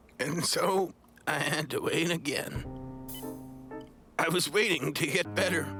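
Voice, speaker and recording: Over clear music in the background, a man talks in a cartoonish character voice, high-pitched and at a fairly slow pace. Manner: brooding, philosophical.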